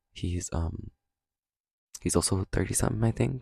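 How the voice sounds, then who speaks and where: In a very clean, dry, close recording with a silent background and no echo, a man speaks with a very deep, low pitch and a dark, mellow tone. His moderate pace carries vocal fry and very wide pitch swings. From Canada. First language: Cantonese. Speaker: podcast host. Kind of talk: casual monologue. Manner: casual, filler-heavy.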